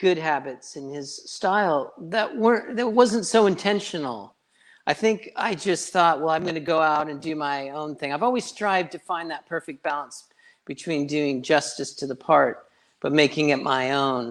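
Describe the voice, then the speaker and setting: A man speaks in a plain, everyday voice at a moderate pace. His pitch is fairly high and his intonation lively. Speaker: rock band singer. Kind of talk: casual interview chat.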